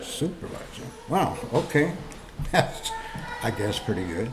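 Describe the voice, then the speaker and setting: A man speaks at a moderate pace. Audible room echo and noticeable background noise accompany him. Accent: American. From Los Angeles, California. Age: 60s. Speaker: war veteran. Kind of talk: personal testimony. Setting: story recording booth.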